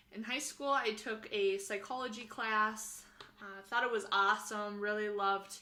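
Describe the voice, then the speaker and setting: A woman talks at a moderate pace in a bright, sharp tone. Her intonation stays fairly even. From Minnesota, US Midwest. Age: 20s. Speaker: graduate student in family therapy. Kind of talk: personal introduction monologue. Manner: casual with frequent fillers.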